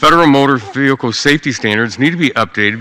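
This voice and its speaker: Fairly quick and lively in intonation, a man speaks in a plain, everyday voice with an American accent. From United States, Ohio. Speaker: U.S. congressman. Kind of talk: formal congressional floor speech.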